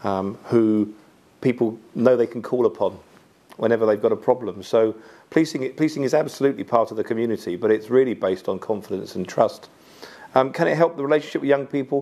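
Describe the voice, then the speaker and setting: A man at a very fast pace, with a dark, mellow tone and ordinary pitch variation. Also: medium pitch for a man. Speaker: police chief. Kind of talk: interview. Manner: halting.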